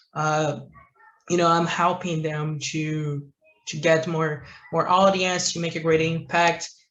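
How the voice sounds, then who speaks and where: Speaking with a Brazilian Portuguese accent, a man uses a fairly high pitch, a fairly slow pace and monotone, flat intonation. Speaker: entrepreneur, marketing agency owner. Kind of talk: interview answer.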